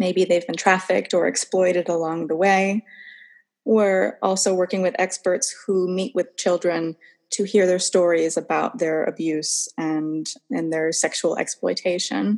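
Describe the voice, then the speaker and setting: A woman speaks at a fairly slow pace with fairly even intonation and medium pitch, in an ordinary speaking voice. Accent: American. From US Northeast, Massachusetts. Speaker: international affairs professional. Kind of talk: casual interview chat. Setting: remote call across time zones.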